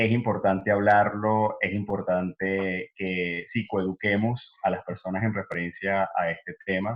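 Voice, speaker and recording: At a fairly slow pace and fairly low pitch, a man speaks in a flat monotone with hardly any pauses. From Venezuela. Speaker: psychologist. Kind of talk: interview.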